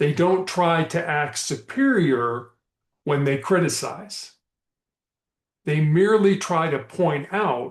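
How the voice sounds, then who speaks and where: With lively intonation and a high pitch, a man speaks at a very slow pace, leaving long, frequent pauses. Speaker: motivational speaker and author. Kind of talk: motivational leadership talk. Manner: slow, deliberate.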